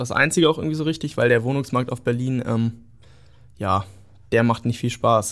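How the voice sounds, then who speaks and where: A man speaks at a medium pitch. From northern Germany (Göttingen, Lower Saxony). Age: 20s. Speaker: young Berlin resident sharing experiences. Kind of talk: casual chat.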